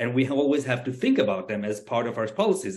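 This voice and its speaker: The speaker has an Israeli accent and a fairly quick pace. Pitch variation is ordinary. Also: man. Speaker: panelist, expert. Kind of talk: webinar panel discussion.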